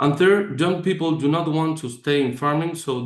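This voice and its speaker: A man speaks at a moderate pace with a Spanish accent and ordinary pitch variation. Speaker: startup executive. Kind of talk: presentation. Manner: reading from script.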